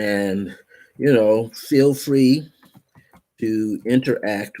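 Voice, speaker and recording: This man has a fairly low pitch and a dark, mellow tone, with ordinary pitch variation. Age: 70s. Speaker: spiritual counselor. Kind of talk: live stream monologue. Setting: live stream. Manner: casual, conversational.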